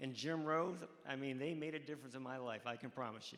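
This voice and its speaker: With a US Midwestern accent, a man speaks at a fairly quick pace with ordinary pitch variation. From Ohio, Cleveland. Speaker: college track coach, hall of fame inductee. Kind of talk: interview on stage. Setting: stage with audience. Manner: halting.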